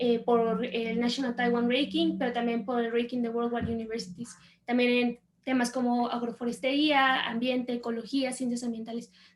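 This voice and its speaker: A woman talks in a high pitch at a moderate pace, her intonation monotone and flat. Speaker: agronomist, master's graduate. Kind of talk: panel talk with slides.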